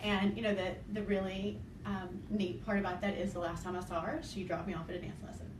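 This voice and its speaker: With an Arkansas accent, a woman talks at a very fast pace and medium pitch, her intonation fairly even, with audible room echo and noticeable background noise. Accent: Southern (Arkansas) accent, still noticeable. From Arkansas, US South. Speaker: dance team coach and choreographer. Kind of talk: interview. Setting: filmed interview with camera person.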